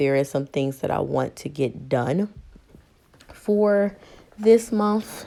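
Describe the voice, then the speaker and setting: A woman at a very slow pace with lively intonation, in a very clean recording with a silent background. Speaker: planner hobby vlogger. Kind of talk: casual tutorial vlog. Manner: chatty, filler-heavy.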